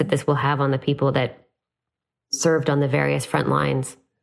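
A woman speaks fairly quickly with a Canadian accent. Her voice is very deep and low, with vocal fry. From Canada. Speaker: business school professor and podcast host. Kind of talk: interview.

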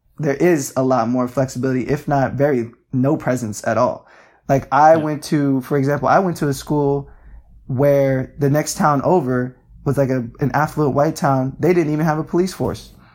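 A man with an American accent and a fairly high pitch, at a moderate pace, on a very clean recording with a silent background. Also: fairly even intonation. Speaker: activist. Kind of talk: interview.

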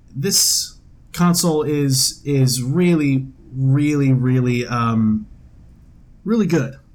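A man speaks with a fairly high pitch and a somewhat breathy quality. His pitch rises and falls in an ordinary way. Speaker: podcast co-host. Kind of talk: casual chat. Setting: home dining room table.

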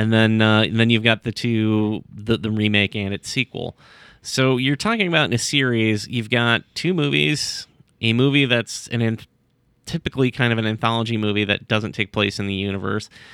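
A man speaks with an ordinary speaking voice at a moderate pace. His pitch is medium, with ordinary variation. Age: 40s. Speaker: web comic co-creator. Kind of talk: casual chat.

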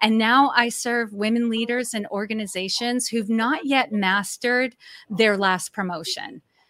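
A woman with an American accent and a bright, sharp tone speaks fairly slowly at a fairly high pitch with fairly even intonation, in a very clean recording with a silent background. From Massachusetts, New England. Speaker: executive coach. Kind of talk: interview.

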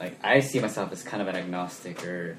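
Over noticeable background noise, a man with an American accent speaks at a moderate pace in a very deep, low pitch. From Sacramento, California. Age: 20s. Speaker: podcast co-host. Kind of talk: casual chat.

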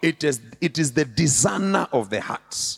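At a fairly slow pace, a man with fairly high pitch talks in an animated tone. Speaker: bishop and preacher. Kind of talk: sermon. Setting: church with live congregation. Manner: animated, call-and-response; humorous, conversational.

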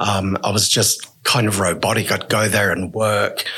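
Speaking fairly slowly, a man with an Australian accent uses a fairly low pitch. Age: 50s. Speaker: person who injects drugs. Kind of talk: interview, personal story.

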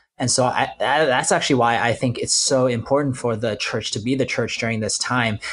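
Speaking with an American accent, a man at medium pitch sounds somewhat breathy, keeps a moderate pace and fairly even intonation, and has a quiet background. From New York. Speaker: pastor. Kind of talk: panel discussion.

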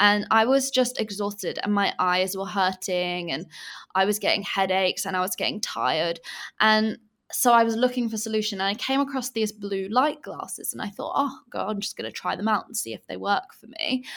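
A woman's fairly quick speech in an English accent, medium in pitch with ordinary pitch variation and big swings in loudness. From England. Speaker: entrepreneur. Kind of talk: casual interview chat. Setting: video call from Bali, late at night.

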